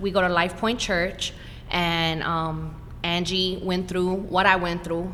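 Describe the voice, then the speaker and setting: In a room with audible echo, a woman speaks very slowly in a fairly low, bright, sharp voice with flat, monotone intonation. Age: 40s. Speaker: breast cancer survivor. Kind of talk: podcast interview.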